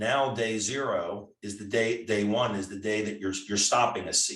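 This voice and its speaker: A man with a plain, everyday voice talks at medium pitch with ordinary pitch variation. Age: 60s. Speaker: retired foot surgeon. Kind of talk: interview.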